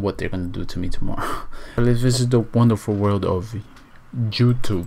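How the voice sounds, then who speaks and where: Speaking at a moderate pace, a man keeps a medium pitch. His intonation is fairly even. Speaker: vlogger. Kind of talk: casual vlog. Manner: whispering.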